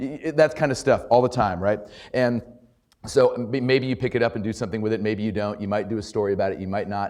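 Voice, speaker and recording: The man speaks at a fairly quick pace with a fairly low pitch. His pitch varies in an ordinary way, and the recording is very clean with a silent background. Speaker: journalism trainer and former political reporter. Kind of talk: workshop talk. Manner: fast; casual, halting with repetitions.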